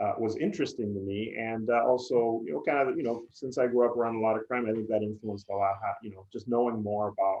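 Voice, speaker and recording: Over background music, a man with a Spanish accent talks very fast at a medium pitch with fairly even intonation. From Puerto Rico, San Juan. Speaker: PR agency executive. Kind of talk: interview.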